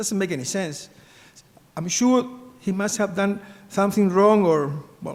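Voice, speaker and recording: A man with a Spanish accent speaks at a fairly slow pace with a high pitch, ordinary pitch variation and long, frequent pauses, and the room echo is audible. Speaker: business executive and sainthood postulator. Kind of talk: conference talk. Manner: halting.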